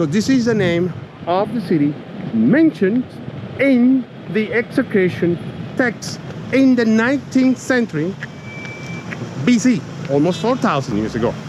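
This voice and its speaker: With noticeable background noise behind him, a man speaks at a moderate pace in a high pitch, his voice swinging very widely in pitch while its loudness stays very even, broken by long, frequent pauses. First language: Spanish. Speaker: tour guide and archaeologist. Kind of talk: guided tour explanation. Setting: outdoors walking around city walls. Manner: animated, repetitive stammering.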